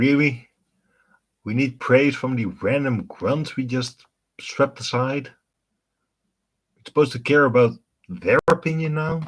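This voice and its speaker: A man with a Dutch accent speaks at a fairly slow pace, leaving long, frequent pauses. His voice is fairly high, with ordinary pitch variation. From Netherlands. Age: 30s. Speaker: gaming streamer. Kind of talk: live stream gameplay commentary. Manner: casual, conversational.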